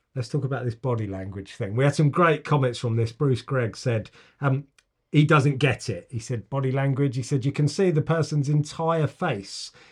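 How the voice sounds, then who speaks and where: A man with an English accent speaks at a moderate pace in a somewhat breathy, medium-pitched voice with ordinary pitch variation. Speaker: podcast host. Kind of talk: casual chat.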